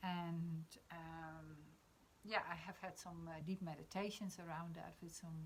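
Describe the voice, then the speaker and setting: With a Dutch accent, a woman speaks at a fairly low pitch and fairly slow pace in a monotone, flat intonation. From Netherlands. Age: 50s. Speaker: spiritual discussion host. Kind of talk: casual discussion on live stream. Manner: halting, many fillers.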